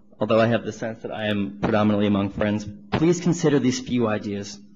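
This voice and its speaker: A man talks at a very fast pace in an American accent. There is audible echo in the room. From New York, New Rochelle. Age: 20s. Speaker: student activist. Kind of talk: public testimony at a council hearing. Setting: council hearing room, microphone. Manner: formal.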